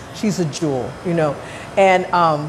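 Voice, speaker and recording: A woman speaks with an American accent. Background noise is noticeable throughout. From South Los Angeles, US. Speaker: chef and cooking show host. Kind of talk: cooking show chat. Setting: senior center kitchen.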